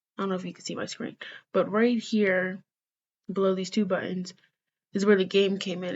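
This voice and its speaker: This woman's voice sits at a medium pitch and sounds somewhat breathy. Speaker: student presenter. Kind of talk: slideshow presentation. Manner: fast.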